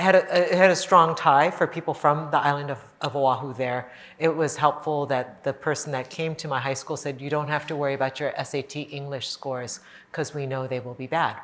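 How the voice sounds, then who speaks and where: A woman talks fairly quickly in a very deep, low voice with fairly even intonation. Her loudness swings widely. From Hawaii. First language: not English. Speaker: city housing director. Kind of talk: panel conversation.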